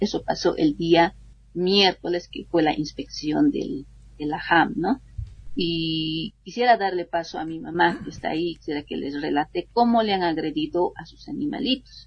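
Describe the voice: The voice has a slightly husky edge, ordinary pitch variation and a moderate pace. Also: woman, fairly low pitch for a woman.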